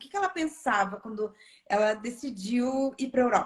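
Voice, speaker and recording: A woman speaks at a fairly slow pace in a high-pitched voice with lively intonation. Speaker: channel host. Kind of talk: interview on a livestream.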